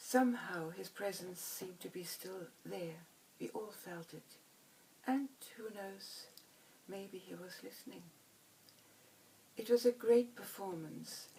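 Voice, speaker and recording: Against noticeable background noise, a woman with a medium pitch speaks fairly slowly with ordinary pitch variation, big swings in loudness, and long, frequent pauses. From Germany. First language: German. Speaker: violinist. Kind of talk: scripted narration.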